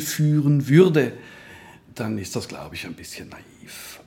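This man's voice has a dark, mellow tone. He speaks at a fairly slow pace. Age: 40s. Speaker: health insurance executive. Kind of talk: interview conversation.

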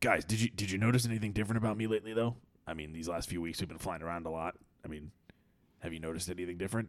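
A man speaks at a very fast pace in a put-on character voice. His pitch is very deep and low. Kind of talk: improvised comic storytelling. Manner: defensive, whiny, self-pitying.

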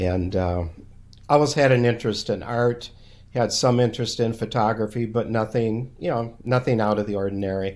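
Speaking with an Upper Midwest accent at a moderate pace, a man with a medium-pitched voice keeps his intonation fairly even on a very clean recording with a silent background. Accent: Upper Midwest American. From Minnesota. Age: 60s. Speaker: landscape photographer and retired professor. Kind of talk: casual interview.

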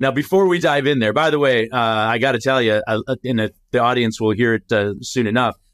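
A man with an unremarkable speaking voice talks at a fairly quick pace and medium pitch, with ordinary pitch variation. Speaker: podcast host. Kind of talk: scripted intro then casual interview.

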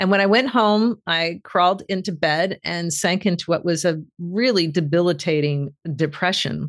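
A woman has a plain, everyday voice pitched fairly low, with ordinary pitch variation. She keeps a moderate pace with hardly any pauses. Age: 60s. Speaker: author and executive coach. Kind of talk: interview.

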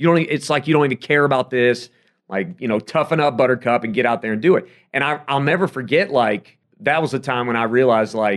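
In an American accent, an unremarkable speaking voice moves at a fairly quick pace with ordinary pitch variation against a quiet background. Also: man. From South Carolina. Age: 30s. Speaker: sports radio host and play-by-play announcer. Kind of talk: casual interview chat.

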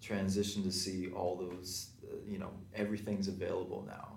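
With audible room echo, a man speaks at a fairly slow pace in a somewhat breathy, fairly low-pitched voice. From Calgary, Alberta. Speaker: tap dancer. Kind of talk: panel discussion.

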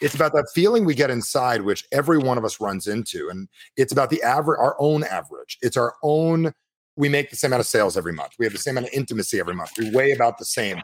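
Speaking very fast with lively intonation, a man uses a medium pitch touched by vocal fry. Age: 40s. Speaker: sales trainer. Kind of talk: casual chat.

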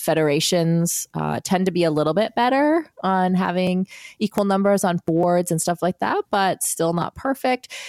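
A woman talks at a moderate pace in a fairly low pitch with ordinary pitch variation, her loudness very even. It's an unremarkable speaking voice, with a dry, close sound and no echo. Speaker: former professional triathlete and podcaster. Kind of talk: podcast interview.

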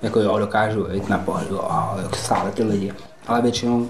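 Amid noticeable background noise and audible room echo, a man speaks at a fairly quick pace and medium pitch in a monotone, flat intonation. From Czech Republic, Prague then South Bohemia. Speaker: rapper. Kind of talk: casual interview storytelling.

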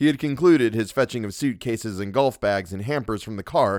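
The words are spoken in a natural reading voice.

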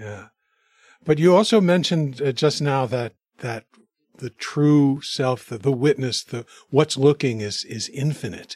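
Speaking in a normal speaking voice at a fairly high pitch for a man, he keeps a fairly slow pace with lively intonation and big swings in loudness, in a dry, close sound with no echo. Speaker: podcast co-host. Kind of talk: interview conversation.

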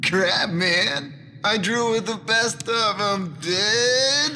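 A man uses a put-on character voice, high-pitched and raised to project. He speaks at a very slow pace over light background noise.

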